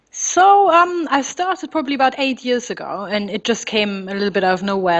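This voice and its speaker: A woman with a German accent at a fairly quick pace, ordinary pitch variation, and noticeable background noise. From Germany, near Frankfurt. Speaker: photographer. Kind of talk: interview.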